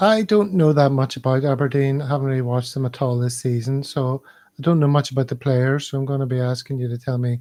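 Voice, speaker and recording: With a Northern Irish accent, the speaker moves at a fairly quick pace in a dark, mellow tone with ordinary pitch variation. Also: man. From Belfast, Northern Ireland. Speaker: football podcast host. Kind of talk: casual chat.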